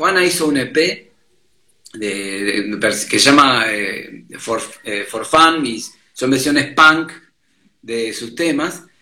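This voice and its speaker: A man speaks very slowly in a bright, sharp tone with lively intonation, leaving long, frequent pauses amid audible room echo. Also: medium pitch for a man. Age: 50s. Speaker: sound engineer and bassist. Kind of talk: casual chat.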